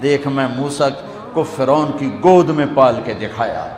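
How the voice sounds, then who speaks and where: A man's voice over noticeable background noise. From Pakistan. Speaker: Islamic scholar and preacher. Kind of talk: religious sermon (bayan). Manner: emotional, fervent, preaching.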